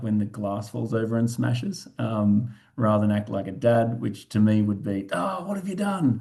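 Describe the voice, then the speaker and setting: In an Australian accent, a man talks at a fairly low pitch. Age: 40s. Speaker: parenting group founder. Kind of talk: webinar presentation. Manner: halting, many fillers.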